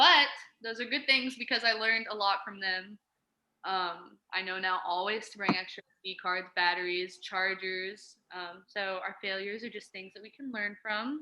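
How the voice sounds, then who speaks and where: A woman at a medium pitch speaks with ordinary pitch variation and big swings in loudness. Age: 20s. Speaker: photographer. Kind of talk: casual interview. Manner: fast.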